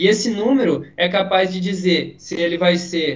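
A man speaks in a high-pitched voice. His pitch varies in an ordinary way. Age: 20s. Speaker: physical education student. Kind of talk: casual chat.

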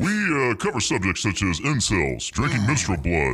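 At a moderate pace, a man with a fairly low pitch, a bright, sharp tone and vocal fry makes very wide pitch swings. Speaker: studio guest on radio show. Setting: studio.

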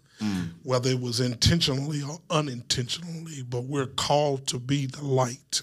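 A man with an Alabama accent, animated in tone, at a medium pitch with ordinary pitch variation, moderate pace and hardly any pauses. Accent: Southern US, Alabama. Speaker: pastor. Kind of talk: casual chat. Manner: animated, preacherly.

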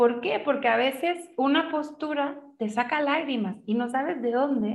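Here a woman speaks in a high pitch with ordinary pitch variation. She keeps a moderate pace. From Chile, Santiago. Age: 30s. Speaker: yoga teacher. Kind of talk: interview.

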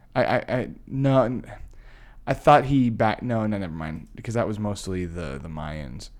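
A man with an American accent, fairly low in pitch, with very wide pitch swings at a moderate pace. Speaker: podcast co-host. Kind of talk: casual chat.

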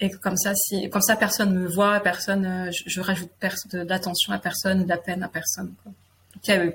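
A woman speaks with vocal fry and monotone, flat intonation. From France, Limousin (near Limoges). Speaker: guest sharing personal story, women's circle facilitator. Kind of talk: personal testimony interview. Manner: halting, hesitant with repetitions.

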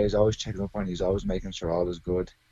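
With an Irish accent, a man speaks at a very fast pace in a very deep, low pitch. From Ireland, Arklow (County Wicklow). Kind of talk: interview.

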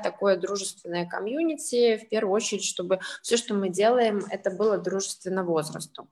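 A woman's medium-pitched, an ordinary speaking voice, with ordinary pitch variation. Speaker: social entrepreneur, senior centre representative. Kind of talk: panel discussion.

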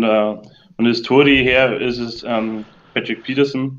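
Flat, monotone intonation from a man at a medium pitch and a moderate pace. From southern Bavaria. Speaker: football fan, community member. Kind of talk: casual chat.

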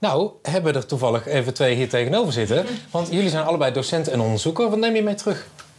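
A man speaks very fast at a fairly high pitch, his voice swinging very widely up and down while the loudness stays very even. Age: 30s. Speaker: podcast host, journalism lecturer. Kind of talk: casual chat. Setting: festival podcast recording.

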